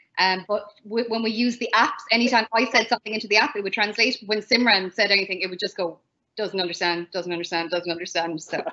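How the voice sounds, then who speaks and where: A woman with an Irish accent talks at a very fast pace. Her pitch is medium with ordinary variation. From Ireland. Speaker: English teacher in China. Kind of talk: online panel talk.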